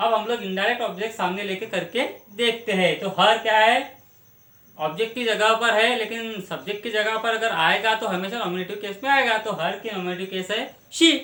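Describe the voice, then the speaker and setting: Noticeable background noise surrounds a man speaking in a raised, projected voice at a high pitch. His intonation is fairly even and his pace moderate. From Maharashtra, India. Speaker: English grammar teacher. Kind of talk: grammar tutorial.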